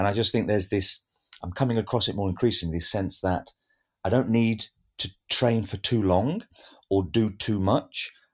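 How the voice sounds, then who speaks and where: Moderate pacing with long, frequent pauses and fairly even intonation, on a very clean recording with a silent background. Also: man. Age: 50s. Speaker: actor and acting teacher. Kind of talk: casual chat. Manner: halting, many fillers.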